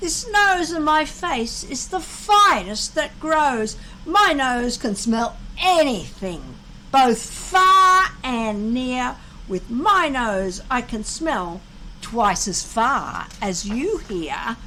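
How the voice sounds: A put-on character voice comes through with a bright, sharp tone. It moves at a very slow pace with big pitch swings. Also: woman, high pitch for a woman.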